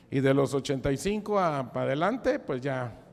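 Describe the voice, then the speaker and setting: Using a plain, everyday voice, a man speaks at a moderate pace with a fairly high pitch. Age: 60s. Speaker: preacher. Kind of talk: sermon. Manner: casual, conversational.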